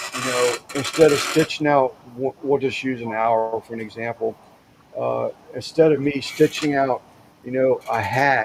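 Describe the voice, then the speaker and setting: With noticeable background noise behind him, a man speaks at a fairly slow pace in a medium pitch with fairly even intonation. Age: 60s. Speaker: caller on a live stream chat show. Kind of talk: casual chat. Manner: halting, many fillers and restarts.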